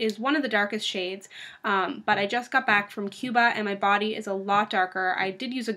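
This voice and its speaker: A woman's bright, sharp voice at a fairly quick pace with ordinary pitch variation, over a quiet background. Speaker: beauty vlogger. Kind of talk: casual vlog chat. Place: home room. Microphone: webcam.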